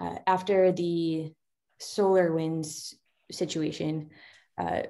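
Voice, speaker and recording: Fairly low, dark, mellow female voice in a monotone, flat intonation, on a very clean recording with a silent background. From New England, US. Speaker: security director. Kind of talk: guest talk. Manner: fast.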